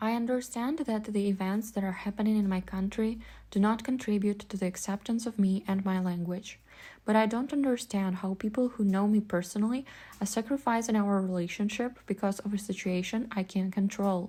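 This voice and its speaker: Speaking at a fairly quick pace, a woman with a dark, mellow tone and medium pitch sounds somewhat breathy, her intonation fairly even, on a very clean recording with a silent background. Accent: Russian. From Ukraine, Vinnytsia. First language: Russian. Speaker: vlogger. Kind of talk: personal essay monologue.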